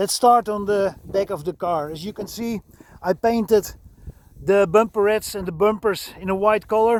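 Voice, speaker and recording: With a Dutch accent, a man talks at a moderate pace in a high voice with fairly even intonation. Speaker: vehicle restorer and enthusiast. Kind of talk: video walkaround. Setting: outdoors. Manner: halting.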